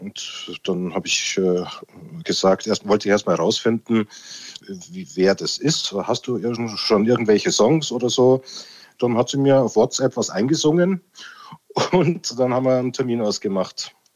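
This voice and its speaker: Speaking at a moderate pace with a medium pitch, a man uses lively intonation. He leaves long, frequent pauses. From Lower Bavaria. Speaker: music producer. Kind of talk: interview.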